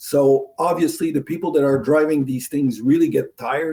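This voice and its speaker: With a French accent, a man speaks at a fairly high pitch in a dark, mellow tone. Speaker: hydraulics sales manager. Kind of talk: interview.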